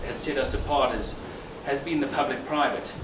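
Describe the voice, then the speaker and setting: A man talks at a moderate pace with a fairly high pitch and lively intonation. Noticeable background noise runs under his voice. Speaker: company executive. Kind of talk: celebration speech. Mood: reflective, earnest. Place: hall. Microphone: handheld.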